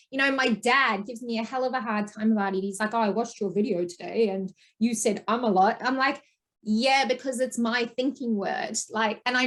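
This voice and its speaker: Her pitch fairly high, a woman talks at a moderate pace with ordinary pitch variation. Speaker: podcast host. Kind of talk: interview conversation. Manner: says um a lot.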